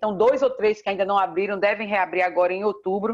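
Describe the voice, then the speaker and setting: Moving at a fairly quick pace, a woman speaks at a medium pitch. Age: 50s. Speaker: state tourism official. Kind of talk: interview. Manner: animated.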